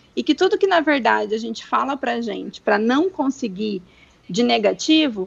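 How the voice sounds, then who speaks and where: A woman with lively intonation at a moderate pace, in a dry, close sound with no echo. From Brazil, Mato Grosso do Sul. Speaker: doctor. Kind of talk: interview.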